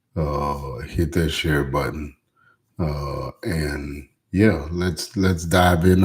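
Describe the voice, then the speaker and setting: A man's very deep, low voice, dark and mellow, somewhat breathy, with fairly even intonation and a very slow pace. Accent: Louisiana. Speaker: pastor. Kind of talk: live stream motivational talk. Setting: live stream. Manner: speaking low; hesitant, many fillers.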